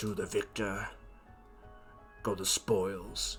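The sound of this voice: With clear music in the background, a man uses a put-on character voice that is raspy and guttural.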